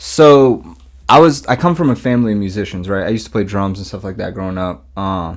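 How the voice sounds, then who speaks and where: With a Mid-Atlantic US accent, a man speaks at a fairly low pitch, his intonation lively and his loudness swinging widely. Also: fairly quick pace. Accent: American Mid-Atlantic. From US Mid-Atlantic, Maryland. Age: 30s. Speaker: rapper and music producer. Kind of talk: casual interview chat. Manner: relaxed, casual.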